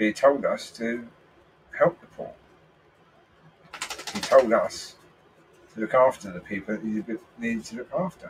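A man with a British accent, big swings in loudness, long and frequent pauses, and noticeable background noise. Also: moderate pace. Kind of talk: religious and political commentary.

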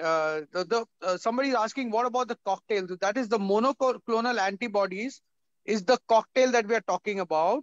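This man's pitch is high, with ordinary variation, at a moderate pace. The sound is dry with no echo, and the background is quiet. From India. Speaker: panel moderator. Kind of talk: online panel discussion. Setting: video call. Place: home room. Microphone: video call.

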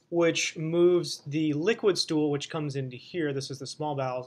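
With a moderate tempo, a man delivers his words in fairly level intonation. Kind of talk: lecture. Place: home room. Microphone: webcam.

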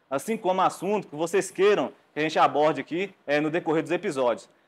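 In a plain, everyday voice, a man talks at a fairly quick pace with a fairly high pitch and ordinary pitch variation. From Brazil. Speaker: podcast host. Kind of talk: casual chat; podcast intro and interview question. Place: studio. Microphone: lapel.

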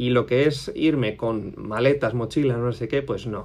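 Here a man speaks with a Spanish accent at a fairly slow pace. His pitch varies in an ordinary way. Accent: Spain Spanish. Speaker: custom motorcycle workshop owner. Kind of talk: casual vlog monologue. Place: office. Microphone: phone near.

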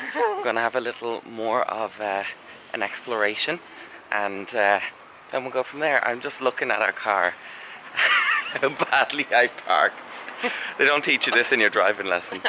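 A man speaks at a moderate pace with ordinary pitch variation and long, frequent pauses. Noticeable background noise runs behind him. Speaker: vlogger. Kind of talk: casual vlog chat. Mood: cheerful, joking. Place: street. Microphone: phone near.

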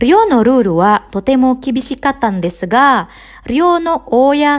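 A woman with an Indonesian accent speaks at a fairly slow pace, her pitch high and her intonation lively. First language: Indonesian (speaking Japanese). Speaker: Japanese language teacher. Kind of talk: podcast monologue for learners.

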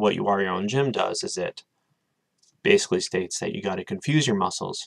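The man talks at a fairly quick pace. The background is quiet. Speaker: vlogger. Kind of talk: casual vlog chat. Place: home room. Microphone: webcam.

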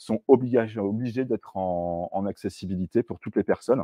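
A man speaks in a normal speaking voice, fairly low in pitch with ordinary pitch variation, at a fairly quick pace. The background is quiet and the sound is dry with no echo. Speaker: software developer; presenter. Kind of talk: tech talk with live demo. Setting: stage with audience. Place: meeting room.

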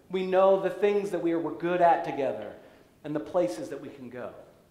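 A man speaks with a high pitch in an American accent. There is audible room echo. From US, raised partly in Central Europe. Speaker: pastor. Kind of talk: sermon. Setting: church. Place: church.

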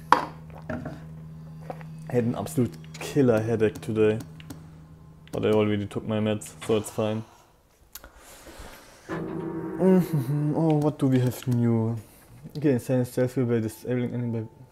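With a German accent and a medium pitch, a man speaks at a fairly slow pace with very wide pitch swings and long, frequent pauses, as music plays in the background. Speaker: streamer. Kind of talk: casual gameplay commentary.

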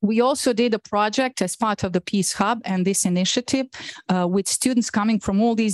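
A woman with a Bosnian accent, fairly quick pace and ordinary pitch variation, dry sound with no echo over a quiet background. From Bosnia and Herzegovina. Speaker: professor. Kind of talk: lecture. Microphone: video call.

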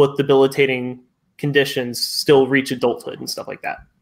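A man with a fairly high voice talks at a moderate pace in a plain, everyday voice. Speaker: science discussion panelist. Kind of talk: casual science discussion.

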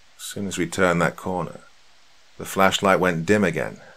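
This man's voice is very deep and low, with vocal fry and a bright, sharp tone. He talks at a moderate pace. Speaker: horror story narrator. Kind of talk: scripted horror narration. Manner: hushed, tense, suspenseful; measured, dramatic pacing. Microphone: studio mic.

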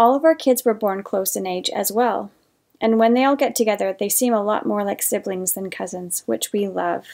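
A woman's unremarkable speaking voice at medium pitch, moderate pace, and ordinary pitch variation. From northern Canada. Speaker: painter and art channel host. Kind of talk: life story told while painting, casual storytelling to camera. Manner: warm, conversational; reflective, sincere.

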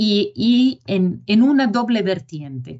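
A woman's somewhat breathy voice with lively intonation against a quiet background. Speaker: project lead presenter. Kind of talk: technical presentation. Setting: video call. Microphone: video call.

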